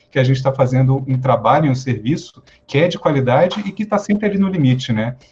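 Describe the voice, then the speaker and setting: Speaking very fast, a man uses a fairly high, somewhat breathy voice. His pitch varies in an ordinary way. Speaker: fire brigade officer and psychologist. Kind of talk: lecture.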